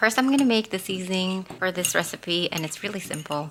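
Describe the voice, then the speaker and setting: There is noticeable background noise behind the speaker. A woman talks at a medium pitch. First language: not English. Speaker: cooking channel host. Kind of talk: cooking tutorial.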